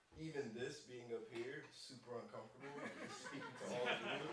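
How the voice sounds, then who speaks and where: A man's fairly quick speech comes through with audible room echo and noticeable background noise. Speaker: insurance sales agent. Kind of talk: motivational talk. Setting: stage with audience. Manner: casual.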